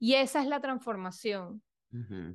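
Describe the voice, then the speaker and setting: A woman speaks at a fairly high pitch in an unremarkable speaking voice. She goes at a fairly slow pace against a quiet background. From Venezuela. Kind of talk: interview conversation.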